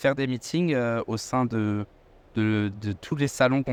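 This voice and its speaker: A man's unremarkable speaking voice, medium in pitch with fairly even intonation, dry and close with no echo. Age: 20s. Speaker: podcast host. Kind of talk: podcast interview. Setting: aviation trade show.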